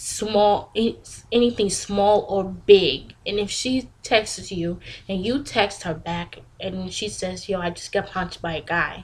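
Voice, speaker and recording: Very slowly, a woman speaks in a somewhat breathy, medium-pitched voice with ordinary pitch variation. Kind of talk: casual talk to camera.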